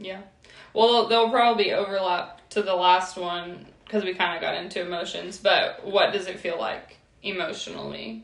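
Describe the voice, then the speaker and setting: Noticeable background noise sits behind a woman speaking at a moderate pace, her medium pitch showing ordinary variation. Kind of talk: casual chat.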